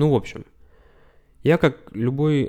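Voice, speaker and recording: Dark, mellow tone at a moderate pace on a very clean recording with a silent background. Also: man. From Russia. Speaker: podcast host. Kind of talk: solo podcast monologue. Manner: casual.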